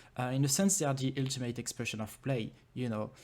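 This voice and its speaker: A man talks with a French accent and fairly even intonation. The recording is very clean, with a silent background. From France. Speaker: game developer and conference speaker. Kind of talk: conference talk. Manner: hesitant, many fillers.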